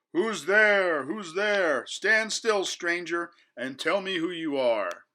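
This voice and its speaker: In a put-on character voice, a man growls at a very slow pace with a raised, projected voice. His pitch is high for a man, and the recording is very clean over a silent background. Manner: menacing, demanding.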